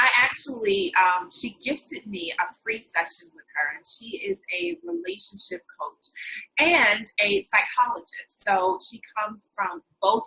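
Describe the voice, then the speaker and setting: Using an American accent, a woman with a medium pitch speaks at a fairly slow pace with hardly any pauses. Her tone is bright and sharp. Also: big swings in loudness. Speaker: interview series host. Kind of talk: online interview.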